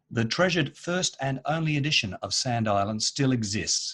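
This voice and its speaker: Lively intonation marks this man's Australian accent as he talks at a moderate pace. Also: hardly any pauses. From Australia, Perth. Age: 50s. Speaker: editor and copywriter. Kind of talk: conference presentation.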